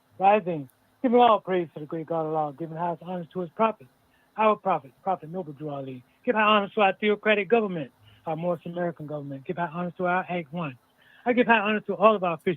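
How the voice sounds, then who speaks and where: A man talks at a very fast pace with a high pitch. His pitch varies in an ordinary way. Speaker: religious community official. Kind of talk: phone-in testimony to a class.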